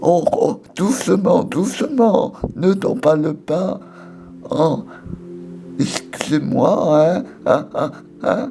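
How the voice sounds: A woman's put-on character voice at medium pitch, very slow with long, frequent pauses and very wide pitch swings, over clear background noise.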